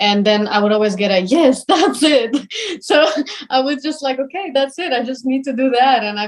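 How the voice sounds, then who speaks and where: A woman speaks with a non-native accent. Her intonation is lively and her pace moderate. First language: not English. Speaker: professional ballet dancer. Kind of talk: interview. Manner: hesitant, many fillers.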